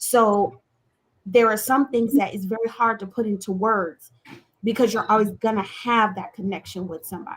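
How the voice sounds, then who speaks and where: Somewhat breathy female speech, fairly high in pitch, fairly even in intonation, at a moderate speed. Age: 40s. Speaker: talk show co-host. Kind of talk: casual chat. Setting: live online show.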